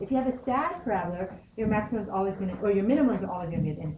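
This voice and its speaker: The speech comes at a very fast pace with very wide pitch swings, set against noticeable background noise and audible room echo. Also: woman. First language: not English. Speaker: high school math teacher. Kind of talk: classroom lecture. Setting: classroom. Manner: conversational, many fillers.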